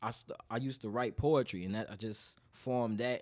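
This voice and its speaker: On a very clean recording with a silent background, a man speaks. His pace is fairly quick and his intonation fairly even. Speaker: rapper and singer. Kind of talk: interview.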